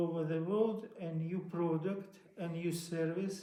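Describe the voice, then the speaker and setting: A man with a Russian accent speaks in a high pitch with a monotone, flat intonation. Audible room echo and noticeable background noise accompany him. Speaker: inventor. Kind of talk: interview. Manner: halting.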